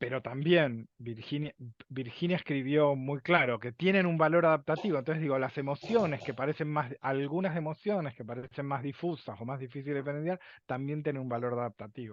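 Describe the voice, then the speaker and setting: In a normal speaking voice, a man speaks at a fairly quick pace with a fairly high pitch and ordinary pitch variation. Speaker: lecturer on emotions. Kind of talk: lecture. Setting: video call.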